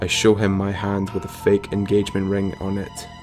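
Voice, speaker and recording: Over music in the background, a man speaks at a fairly low pitch with monotone, flat intonation. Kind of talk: horror story reading, narrating a first-person story. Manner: hesitant, unpolished reading aloud.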